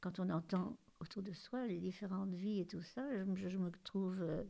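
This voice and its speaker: Her voice sits at a medium pitch and carries a dark, mellow tone. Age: 80s+. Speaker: grandmother. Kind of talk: testimony.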